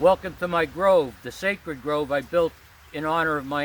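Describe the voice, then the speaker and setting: At a fairly slow pace, a man with a Pennsylvania accent speaks with ordinary pitch variation. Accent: Pennsylvania American. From Pennsylvania, coal mining town. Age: 60s. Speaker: spiritual vlogger. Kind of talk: casual vlog monologue. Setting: outdoors in a grove.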